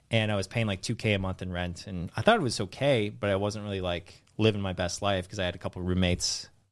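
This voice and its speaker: On a very clean recording with a silent background, a man talks very fast with hardly any pauses, his pitch fairly low and his intonation fairly even. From US, San Francisco Bay Area. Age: 30s. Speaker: finance content creator, former financial advisor. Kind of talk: casual interview chat.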